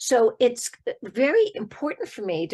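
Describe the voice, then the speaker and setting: A woman's voice with very wide pitch swings, against a quiet background. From Boston. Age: 70s. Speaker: therapist and podcast host. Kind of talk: podcast interview.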